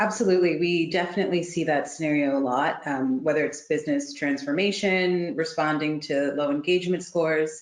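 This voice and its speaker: A woman with a strong Canadian accent speaks at a very deep, low pitch and a fairly quick pace, with hardly any pauses. Her loudness is very even, her intonation fairly even, and room echo is audible. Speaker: recognition programme consultant. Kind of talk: webinar panel discussion. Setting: online webinar.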